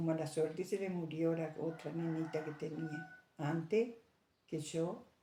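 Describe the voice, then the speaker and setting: The voice has a dark, mellow tone. Audible room echo surrounds it. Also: woman. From Argentina, Santa Ana. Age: 80s+. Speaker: elderly interviewee. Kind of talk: oral history interview. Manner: halting.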